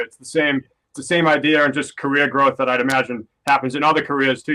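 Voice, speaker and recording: A man speaks with a Boston accent at a very fast pace. His pitch is fairly high. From Boston, US. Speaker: metal guitarist. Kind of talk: podcast interview. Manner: casual, with fillers.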